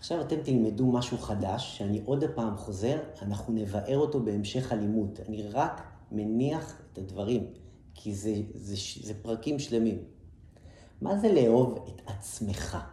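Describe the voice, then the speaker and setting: A man speaks at a medium pitch with ordinary pitch variation and a somewhat breathy, dark, mellow tone. His pace is fairly slow, and room echo is audible. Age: 40s. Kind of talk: lecture.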